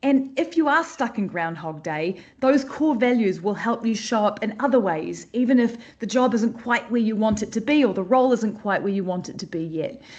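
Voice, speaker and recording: A woman's fairly high, somewhat breathy voice, lively in intonation, at a moderate pace. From New Zealand. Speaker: creative director teaching a class. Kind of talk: online live class talk. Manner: speeds up when excited; bubbly.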